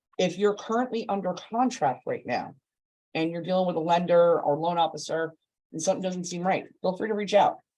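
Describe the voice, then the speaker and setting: Loud and high-pitched, this man talks at a fairly quick pace. His pitch variation is ordinary. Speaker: loan officer. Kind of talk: webinar presentation. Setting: Zoom livestream.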